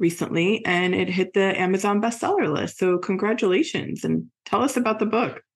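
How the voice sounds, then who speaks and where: Here a woman uses an ordinary speaking voice at a medium pitch and a moderate pace. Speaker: podcast host. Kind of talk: interview.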